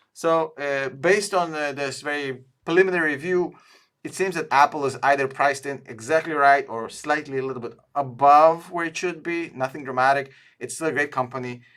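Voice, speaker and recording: On a very clean recording with a silent background, a man with a fairly high pitch talks at a moderate pace and varies his pitch in an ordinary way. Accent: non-native. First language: not English. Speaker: stock analysis youtuber, tool co-founder. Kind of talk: screen-share stock review. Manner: hesitant, many fillers.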